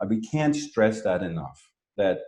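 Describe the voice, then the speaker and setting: A man with a non-native accent speaks at a moderate pace, his pitch swinging very widely. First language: not English. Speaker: marketing expert. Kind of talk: interview.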